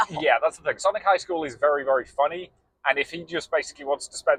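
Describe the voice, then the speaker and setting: A man with a British accent, the sound dry and close with no echo. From England. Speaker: podcast co-host. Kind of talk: casual chat. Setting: in a car.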